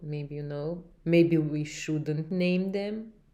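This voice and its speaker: In a Russian accent, a woman with a dark, mellow tone speaks fairly slowly and with fairly even intonation. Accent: Russian-sounding English (own words). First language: Romanian. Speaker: podcast host. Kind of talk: casual chat. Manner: halting.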